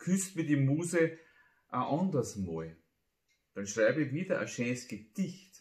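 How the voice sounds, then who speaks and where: Somewhat breathy and fairly high-pitched, a man speaks at a fairly slow pace with very wide pitch swings and long, frequent pauses, with audible room echo over a quiet background. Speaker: amateur poet. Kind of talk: humorous dialect poetry reading. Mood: humorous, playful. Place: home room.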